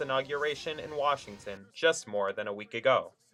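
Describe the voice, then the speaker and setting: A man's fairly high voice with music in the background. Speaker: TV news reporter. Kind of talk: TV news reporter delivery.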